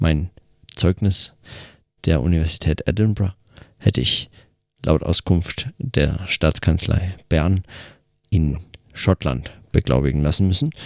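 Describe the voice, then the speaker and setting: A man's very deep, low voice with vocal fry, very even loudness and ordinary pitch variation, at a fairly slow pace with long, frequent pauses, in a dry, close sound with no echo. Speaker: podcaster. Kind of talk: audio diary monologue. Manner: hesitant, many fillers.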